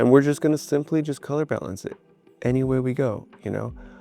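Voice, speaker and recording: A man talks at a fairly quick pace while music runs in the background. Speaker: video editing tutorial creator. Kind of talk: tutorial. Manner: casual, filler-heavy; fast.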